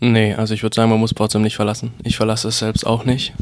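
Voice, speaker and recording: Over noticeable background noise, a man of medium pitch talks with monotone, flat intonation. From rural Bavaria. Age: 20s. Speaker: web portal founder and student. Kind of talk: reading event tips; casual interview. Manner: hesitant, repeats words.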